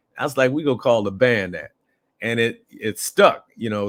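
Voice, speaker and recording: Over a very clean recording with a silent background, a man has an ordinary speaking voice with a medium pitch, ordinary pitch variation and a fairly quick pace. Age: 60s. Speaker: musician and urban farmer. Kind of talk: interview. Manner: relaxed conversational with fillers.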